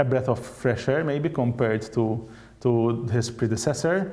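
Medium pitch in a man's speaking voice. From Malta. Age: 30s. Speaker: politician. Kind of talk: political interview. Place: studio. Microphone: lapel.

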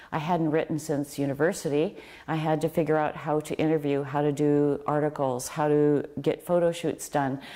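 Against a quiet background, a woman talks at a moderate pace in a very deep, low voice with a dark, mellow tone, monotone, flat intonation and very even loudness. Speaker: author and fashion writer; interviewee. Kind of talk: interview. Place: home room.

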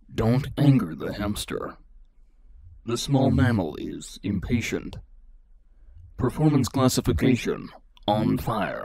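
Using a put-on character voice, a man talks at a fairly slow pace in a medium pitch.

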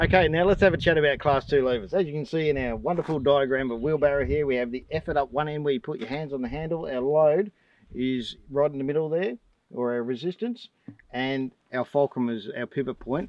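Against a quiet background, a man talks at a fairly quick pace with ordinary pitch variation and a dry sound with no echo. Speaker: presenter. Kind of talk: tutorial. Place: open country.

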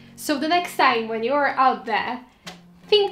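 Faint music plays behind a woman's voice, with audible room echo. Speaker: lifestyle vlogger. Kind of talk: casual vlog chat giving tips. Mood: friendly, smiling. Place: home room.

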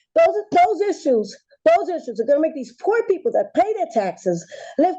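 With an American accent, a woman's dark, mellow voice moves fairly quickly through very wide pitch swings. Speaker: public commenter at planning board. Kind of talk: public comment. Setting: public meeting. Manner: fast; animated.

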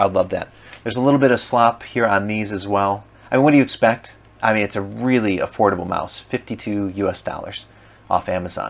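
Talking at a very fast pace, a man keeps his fairly low pitch in fairly even intonation. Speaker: product reviewer. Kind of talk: casual product review. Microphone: camera far.

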